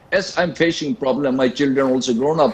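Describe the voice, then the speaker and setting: Moderately paced speech comes from a man. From various Indian states outside Manipur. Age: 80s+. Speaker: panelist on a TV debate. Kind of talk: televised panel debate. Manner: halting.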